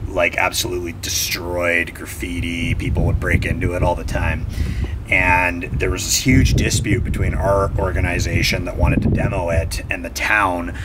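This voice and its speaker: Against loud background noise, a man speaks at a moderate pace with ordinary pitch variation. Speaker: vlogger exploring old buildings. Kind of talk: casual vlog chat. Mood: reflective, hopeful. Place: street.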